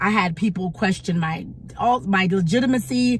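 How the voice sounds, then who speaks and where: A woman with an American accent and lively intonation, over noticeable background noise. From United States. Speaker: YouTube commentator. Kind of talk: opinion vlog commentary. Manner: halting, many repetitions.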